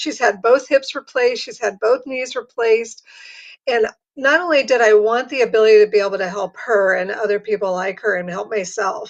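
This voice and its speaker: A woman with a plain, everyday voice and an American accent, fairly high pitch, ordinary pitch variation, big swings in loudness and a fairly quick pace. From Ohio, US Midwest. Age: 60s. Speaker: patch distributor, caregiver. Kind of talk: sales pitch.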